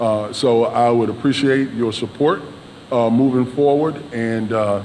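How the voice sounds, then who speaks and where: Fairly slow speech from a man, set against noticeable background noise. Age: 60s. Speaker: mayoral candidate. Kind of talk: debate closing statement. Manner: halting, many fillers.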